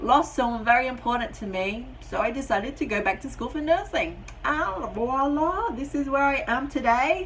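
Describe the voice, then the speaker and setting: With an American accent and a high pitch, a woman talks in an animated tone with lively intonation at a moderate pace and hardly any pauses, amid audible room echo and noticeable background noise. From Britain. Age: 30s. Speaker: vlogger and nurse. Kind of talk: casual vlog introduction. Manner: chatty, animated.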